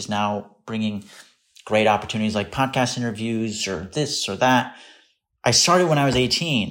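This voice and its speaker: Using an ordinary speaking voice, a man talks at a fairly quick pace with ordinary pitch variation. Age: 30s. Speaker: content creator and actor. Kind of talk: casual chat.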